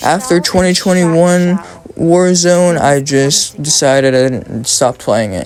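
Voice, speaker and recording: A man's speech shows ordinary pitch variation, with noticeable background noise around it. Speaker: gaming commentator. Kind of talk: casual commentary monologue. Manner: halting, stumbling.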